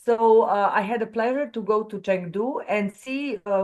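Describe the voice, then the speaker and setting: A woman with a Serbian accent speaks at medium pitch with ordinary pitch variation. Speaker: webinar moderator. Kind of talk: online webinar moderation. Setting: video call. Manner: halting.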